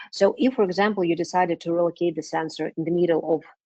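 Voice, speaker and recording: The speaker has a non-native accent and a dark, mellow tone. The pace is fairly quick, with ordinary pitch variation. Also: woman. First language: not English. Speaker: business development manager presenting a webinar. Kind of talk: webinar Q&A. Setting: online webinar. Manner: hesitant, many fillers.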